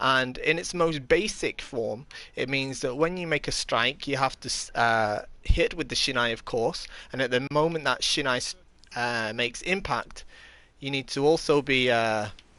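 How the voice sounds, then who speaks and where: A man's medium-pitched voice with a bright, sharp tone and an English accent, ordinary pitch variation, a moderate pace and a quiet background. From England. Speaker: kendo instructor and live streamer. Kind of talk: live stream tutorial while gaming. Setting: live stream. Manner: hesitant, many fillers.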